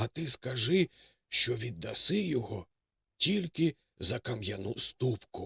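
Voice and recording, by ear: The background is quiet. Over it, a speaker reads aloud in a natural voice with lively intonation.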